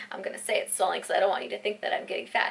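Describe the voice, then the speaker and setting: A woman's voice over noticeable background noise. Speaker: vlogger. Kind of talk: casual vlog talk.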